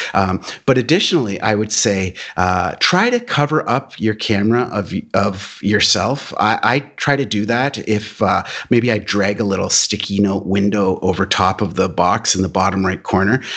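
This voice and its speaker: An unremarkable speaking voice belongs to this man. He talks at a moderate pace with a fairly low pitch. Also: ordinary pitch variation. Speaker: marketing manager. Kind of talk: podcast interview. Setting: video call.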